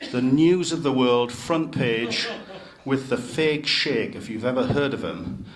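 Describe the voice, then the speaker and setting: With a Geordie accent and ordinary pitch variation, a man speaks amid noticeable background noise and audible room echo. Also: medium pitch for a man, fairly slow pace. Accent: Geordie (Newcastle). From northern England, Newcastle upon Tyne. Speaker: city chief executive. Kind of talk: speech to club members.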